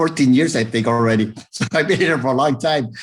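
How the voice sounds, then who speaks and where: Speaking at a fairly quick pace with an American accent, a man uses ordinary pitch variation. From Texas, raised partly in Arizona. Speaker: former salesman and police officer, public speaker. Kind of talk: interview. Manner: fast.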